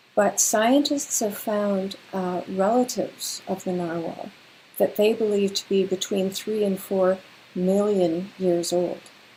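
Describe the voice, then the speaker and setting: In a Canadian accent, a woman uses a normal speaking voice at a medium pitch, speaking at a fairly slow pace with fairly even intonation. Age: 60s. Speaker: children's author and retired teacher. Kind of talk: livestream Q&A for children. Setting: livestream. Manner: friendly, conversational with fillers.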